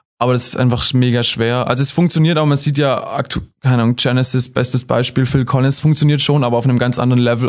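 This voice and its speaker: Fairly quick, fairly evenly intoned speech from a man at a medium pitch. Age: 20s. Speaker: singer and guitarist in a band. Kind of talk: casual interview. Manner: hesitant, many fillers.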